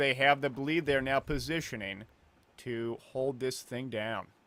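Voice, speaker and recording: A man with an unremarkable speaking voice and fairly high pitch, at a moderate pace with fairly even intonation, on a very clean recording with a silent background. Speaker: esports commentator. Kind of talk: live commentary.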